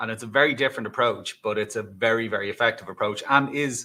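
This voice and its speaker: A man with an Irish accent, medium pitch, ordinary pitch variation and a fairly quick pace. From Ireland. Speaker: cybersecurity executive. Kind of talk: interview. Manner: hesitant fillers, conversational.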